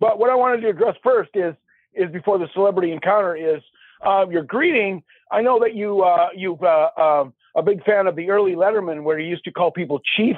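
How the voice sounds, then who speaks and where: With an Upper Midwest accent, a man speaks at a high pitch and fairly quick pace, using ordinary pitch variation. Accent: Upper Midwest American. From Minnesota (Minneapolis). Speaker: caller. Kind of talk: storytelling. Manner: halting, laughs often.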